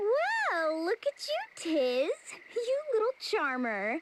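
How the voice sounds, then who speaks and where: In a squeaky put-on character voice, the speaker moves at a very slow pace with very wide pitch swings. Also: woman, extremely high pitch for a woman. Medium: video game. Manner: dry, sardonic.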